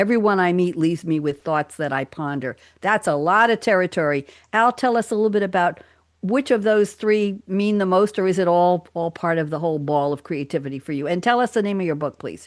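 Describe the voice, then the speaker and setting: A normal speaking voice with an American accent, lively intonation and a fairly quick pace against a quiet background. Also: woman, fairly low pitch for a woman. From New York. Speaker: radio talk show host. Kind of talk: casual roundtable chat. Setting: live radio studio.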